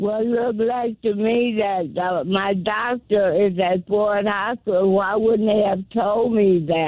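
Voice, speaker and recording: The delivery comes at a very slow pace with hardly any pauses. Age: 80s+. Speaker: caller. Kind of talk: call-in radio talk.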